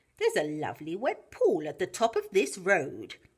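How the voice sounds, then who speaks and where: This is a put-on character voice with a croaky sound. It moves at a moderate pace. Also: female-sounding voice, medium pitch for a woman. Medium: read story.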